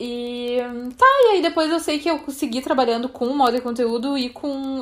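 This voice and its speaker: This woman has a plain, everyday voice, holding a moderate pace while her pitch shifts in an ordinary way. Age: 30s. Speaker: podcast host, fashion journalist. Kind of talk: casual chat.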